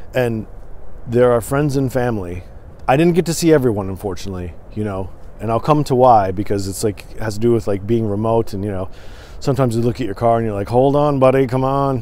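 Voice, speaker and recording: With an American accent, a man talks at a very fast pace in a dark, mellow tone, his pitch varying in an ordinary way, the sound dry with no echo. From Michigan, partly US West Coast (Portland). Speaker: podcast host. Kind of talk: solo vlog monologue. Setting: recorded on camera. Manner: hesitant, many fillers. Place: open country. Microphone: phone near.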